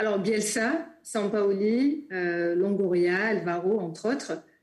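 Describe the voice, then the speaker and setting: Very slow in pace, a woman speaks at a medium pitch with ordinary pitch variation. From Marseille. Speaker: sport sociologist. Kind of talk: interview. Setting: video call.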